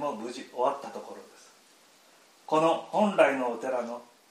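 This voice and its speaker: Over noticeable background noise and audible room echo, a man speaks fairly slowly with ordinary pitch variation. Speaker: Buddhist temple priest. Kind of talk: prepared welcome speech. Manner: formal.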